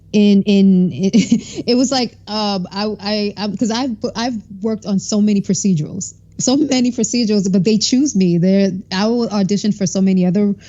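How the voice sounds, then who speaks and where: A woman speaks at a moderate pace in an American accent, with a medium pitch. Her voice is somewhat breathy, with ordinary pitch variation. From New York, Brooklyn. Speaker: actor. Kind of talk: interview.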